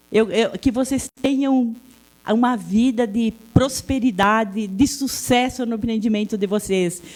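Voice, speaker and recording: A woman speaks at a fairly slow pace with a fairly high pitch. Her voice is somewhat breathy, and her intonation stays fairly even. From Serra Gaúcha, Rio Grande do Sul, Brazil (Italian-descended area). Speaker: local public official. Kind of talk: public speech at event. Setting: event venue with audience. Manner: halting.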